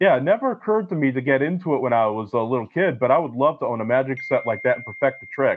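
Over noticeable background noise, a man rattles along very fast at a fairly high pitch, with lively intonation, big swings in loudness, and hardly any pauses. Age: 20s. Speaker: film historian. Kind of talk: casual chat.

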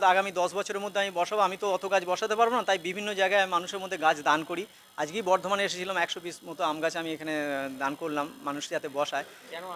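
A man uses a raised, projected voice with fairly even intonation. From West Bengal, Hooghly district. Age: 50s. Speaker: primary school headmaster and awareness campaigner. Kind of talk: street interview.

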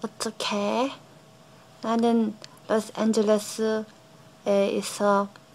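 Very slow and monotone, a woman with fairly high pitch speaks in flat intonation broken by long, frequent pauses. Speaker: language learner. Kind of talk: casual language practice to camera. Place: home room. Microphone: phone near.

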